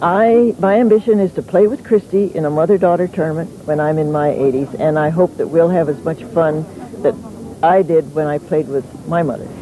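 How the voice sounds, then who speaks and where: Noticeable background noise sits behind the voice. The woman keeps a moderate pace. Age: 70s. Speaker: senior tennis champion. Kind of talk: interview.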